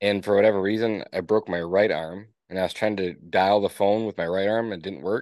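A man with a fairly low pitch talks at a fairly quick pace, his intonation fairly even, over a quiet background. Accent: Upper Peninsula Michigan. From Upper Peninsula of Michigan (Escanaba). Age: 30s. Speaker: business owner. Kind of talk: interview. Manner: casual.

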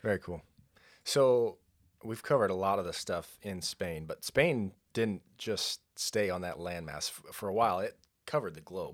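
A man with an American accent speaks at a moderate pace in a fairly low voice, with lively intonation and big swings in loudness. He has an unremarkable speaking voice, and the recording is very clean with a silent background. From California, San Luis Obispo County. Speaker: podcast host. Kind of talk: interview.

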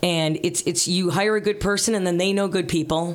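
Noticeable background noise sits behind a woman's voice. She has a fairly low pitch and ordinary pitch variation. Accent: American. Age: 50s. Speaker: radio host. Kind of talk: casual chat.

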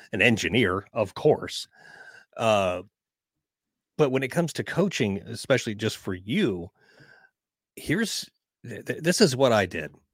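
A man at a medium pitch talks fairly slowly, with very wide pitch swings and long, frequent pauses. The recording is very clean, with a silent background. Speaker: marketing consultant and voiceover coach. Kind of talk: casual interview chat.

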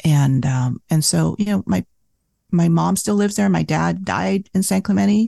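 A dark, mellow voice at a moderate pace, with very even loudness, very wide pitch swings, and a dry, close sound with no echo. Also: woman, very deep, low pitch for a woman. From Vietnam, raised in US from age six. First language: Vietnamese. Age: 50s. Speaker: cookbook author. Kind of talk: casual interview. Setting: remote call.

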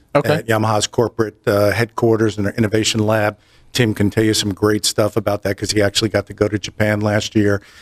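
Flat and monotone, a man with an American accent talks at a very fast pace and a fairly low pitch, with a dry, close sound and no echo. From New Jersey. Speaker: audio industry sales representative. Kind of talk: casual interview.

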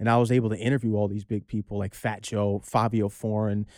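Very fast and dark, mellow in tone, a man's voice comes through with a dry, close sound and no echo. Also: very clean recording, silent background. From Connecticut, Norwalk. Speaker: DJ and aspiring actor. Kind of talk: casual interview chat. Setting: studio.

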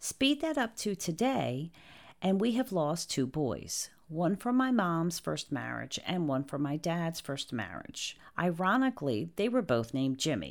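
A woman with a New Jersey accent speaks at a fairly slow pace and fairly low pitch, with very wide pitch swings. The recording is very clean, the background silent. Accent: New Jersey American. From New Jersey, US. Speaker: podcast host. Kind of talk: scripted introduction monologue.

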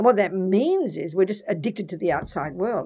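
On a very clean recording with a silent background, a woman with an unremarkable speaking voice talks at a moderate pace and a medium pitch with lively intonation. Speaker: Buddhist nun and teacher. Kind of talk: interview. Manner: direct, forthright.

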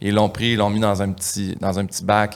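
Speaking at a very fast pace, this man keeps things moving. His voice sits fairly low. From Quebec, Saint-Hyacinthe. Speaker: comedian. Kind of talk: casual chat.

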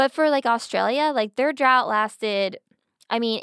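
A plain, everyday voice: a woman with an American accent at a moderate pace and ordinary pitch variation, on a very clean recording with a silent background and a dry, close sound with no echo. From Pennsylvania. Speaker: podcast co-host. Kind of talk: casual chat.

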